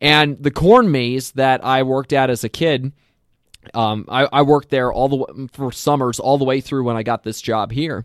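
With an ordinary speaking voice, a man talks at a moderate pace with fairly even intonation, the sound dry and close with no echo. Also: medium pitch for a man, very clean recording, silent background. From Lancaster County, Pennsylvania. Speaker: movie podcast co-host. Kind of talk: casual banter podcast chat about movies.

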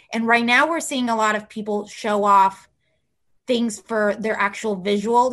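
A woman's fairly high voice with a General American accent, fairly even in intonation, at a moderate pace. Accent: general American, near-native. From Mexico and southern California. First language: Spanish. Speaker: celebrity publicist. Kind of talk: casual interview chat.

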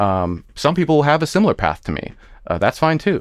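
A man talking at a fairly quick pace on a very clean recording with a silent background. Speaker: transgender guest sharing personal story. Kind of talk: casual heart-to-heart interview. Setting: studio.

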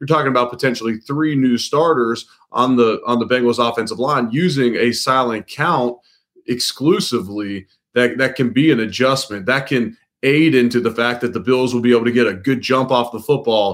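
In an American accent, a man speaks at a medium pitch and a moderate pace with ordinary pitch variation, in a normal speaking voice. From Cincinnati, Ohio. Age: 30s. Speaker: sports reporter covering an NFL team. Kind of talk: podcast interview.

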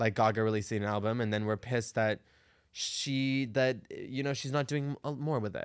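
Here is a man with a plain, everyday voice and an American accent, speaking at a fairly quick pace. The recording is very clean, with a silent background. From Arizona. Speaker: drag performer. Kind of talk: casual chat.

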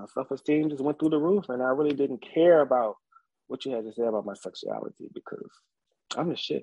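At a fairly quick pace, a man with a fairly high pitch and lively intonation talks in an ordinary speaking voice. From rural Virginia, Nelson County. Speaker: barber, former Marine. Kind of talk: interview, personal life story.

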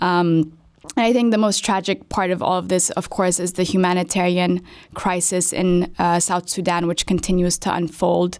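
A woman speaks at a moderate pace in a fairly low pitch, with very even loudness and a monotone, flat intonation. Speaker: researcher at aid organization. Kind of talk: expert panel discussion.

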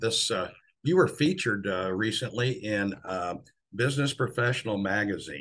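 Against a quiet background, a man speaks at medium pitch and a moderate pace with lively intonation. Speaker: podcast host. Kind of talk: interview.

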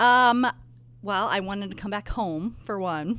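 A woman speaks with a Midwestern American accent. The recording is very clean, with a silent background. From northern Indiana. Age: 40s. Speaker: high school athletic trainer. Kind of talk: casual chat. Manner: laughs often.

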